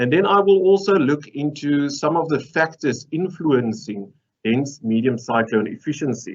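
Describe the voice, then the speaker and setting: A man talks at a fairly high pitch. He has a slight Afrikaans accent. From South Africa. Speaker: mineral processing engineer. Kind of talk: conference presentation. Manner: humorous, conversational.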